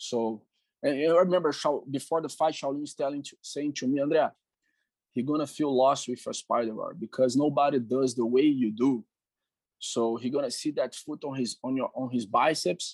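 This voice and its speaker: A man with a Portuguese accent speaks at a moderate pace and a fairly high pitch, his intonation fairly even. The sound is dry and close with no echo, over a quiet background. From Brazil. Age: 40s. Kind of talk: interview.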